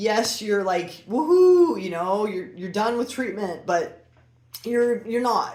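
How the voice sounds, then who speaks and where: A woman's fairly high-pitched voice comes through noticeable background noise and audible room echo. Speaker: breast cancer survivor vlogger. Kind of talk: personal explainer monologue. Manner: hesitant, many fillers.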